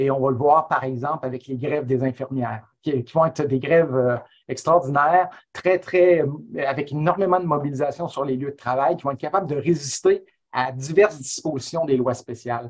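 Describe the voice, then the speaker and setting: Against a quiet background, a man speaks at a moderate pace with a fairly high pitch. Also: ordinary pitch variation. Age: 50s. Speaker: history professor; webinar guest. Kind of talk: webinar talk. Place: home room. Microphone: earbuds.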